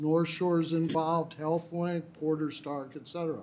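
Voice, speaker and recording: A man talks in an unremarkable speaking voice at a fairly high pitch. His pace is moderate. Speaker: attorney and recovery housing director. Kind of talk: public meeting presentation.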